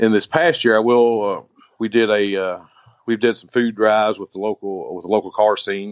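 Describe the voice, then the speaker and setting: A man's fairly low, fairly even-toned voice in a Kentucky accent. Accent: Kentucky Southern. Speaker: jeep club leader. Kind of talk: interview.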